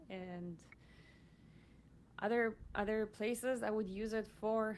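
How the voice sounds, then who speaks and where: Her pitch varies in an ordinary way. The woman has a non-native accent. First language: not English. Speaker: podcast host. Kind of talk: casual chat. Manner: halting.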